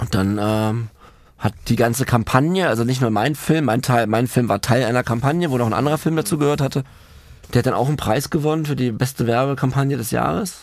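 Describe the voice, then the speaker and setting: A man talks at a fairly quick pace with an unremarkable speaking voice. His pitch is medium, with ordinary variation. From Germany, Berlin. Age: 30s. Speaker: film director in addiction recovery. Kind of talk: casual chat, personal life story.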